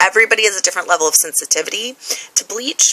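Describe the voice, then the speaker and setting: There is noticeable background noise. A woman talks over it. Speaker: hair tutorial vlogger. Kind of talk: tutorial. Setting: handheld camera. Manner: fast; casual, filler-heavy.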